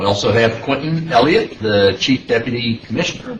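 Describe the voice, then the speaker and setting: A man with an American accent, medium pitch and lively intonation, amid noticeable background noise. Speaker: panel chair / transportation official. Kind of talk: public meeting chairing. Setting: public meeting room. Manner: hesitant with fillers.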